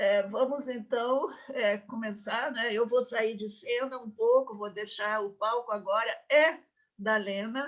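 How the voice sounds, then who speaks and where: The woman's intonation stays fairly even as she talks at a fairly slow pace. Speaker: course host. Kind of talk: introduction of a guest.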